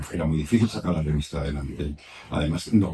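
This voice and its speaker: Fairly quick speech from a man. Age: 70s. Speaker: writer and traveler. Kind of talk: public talk at a bookshop. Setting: bookshop event with audience. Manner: halting, many repetitions.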